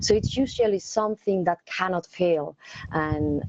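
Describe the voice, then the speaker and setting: A woman speaks with a Spanish accent at a fairly slow pace. Her pitch is fairly low, with ordinary variation. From Spain. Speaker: technical account manager, cloud engineer. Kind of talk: interview Q&A. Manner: hesitant, many fillers and repetitions.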